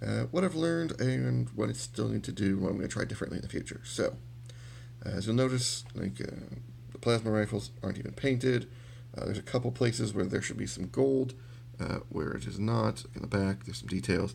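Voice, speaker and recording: A man with a very deep, low pitch and vocal fry talks at a fairly quick pace, his pitch swinging very widely. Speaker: miniature painting hobbyist. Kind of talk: tutorial. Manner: casual, hesitant with many fillers.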